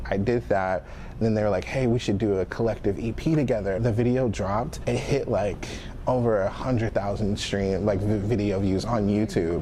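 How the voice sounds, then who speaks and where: A man speaks at a moderate pace with a fairly low pitch and ordinary pitch variation. His loudness stays very even over noticeable background noise. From Fort Smith, Arkansas. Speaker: rapper. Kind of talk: interview. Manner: casual, filler-heavy.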